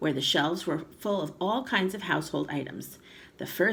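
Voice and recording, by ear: This clip features reading aloud in a natural voice.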